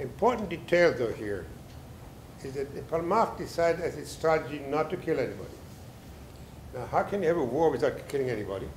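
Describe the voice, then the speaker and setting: Audible room echo surrounds speech with lively intonation and long, frequent pauses. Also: man, fairly high pitch for a man. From Mandatory Palestine / Israel, born in Germany. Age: 80s+. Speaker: professor and author. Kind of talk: book talk lecture. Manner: halting, many fillers.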